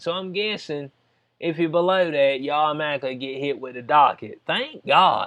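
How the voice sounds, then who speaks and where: Animated in tone, a man with a Southern US accent speaks at a moderate pace with lively intonation. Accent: Southern US, country. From US South. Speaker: YouTube commentator. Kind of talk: casual commentary on news.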